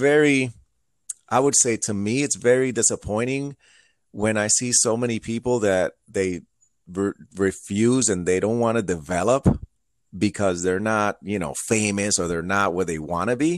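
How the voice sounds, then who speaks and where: Using a normal speaking voice, a man with a fairly low pitch and ordinary pitch variation speaks at a moderate pace, in a dry, close sound with no echo on a very clean recording with a silent background. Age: 30s. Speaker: preacher and motivational speaker. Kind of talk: casual chat.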